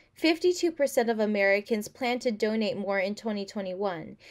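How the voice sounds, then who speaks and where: Over a quiet background, a woman speaks at a fairly slow pace in a fairly high pitch. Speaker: announcer. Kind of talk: news reading. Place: home room. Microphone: webcam.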